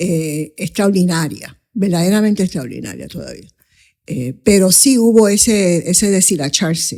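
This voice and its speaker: With a Puerto Rican accent, a woman speaks at a fairly slow pace in a fairly low, dark, mellow voice. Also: ordinary pitch variation. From Coamo, Puerto Rico and New York City (Bronx). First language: English (speaking Spanish). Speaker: investment advisor, firm founder. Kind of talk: interview conversation.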